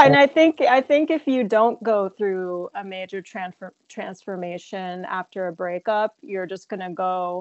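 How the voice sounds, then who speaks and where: A woman with an unremarkable speaking voice and an American accent talks at a fairly slow pace and medium pitch with lively intonation, big swings in loudness and hardly any pauses. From New Jersey, near New York City. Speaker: filmmaker and actress. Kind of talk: interview.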